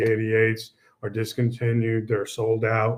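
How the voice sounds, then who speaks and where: Quiet background, moderate pace. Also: man. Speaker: product presenter for an audio equipment maker; product trainer. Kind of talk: product webinar presentation. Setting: online webinar. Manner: halting with many fillers. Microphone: webcam.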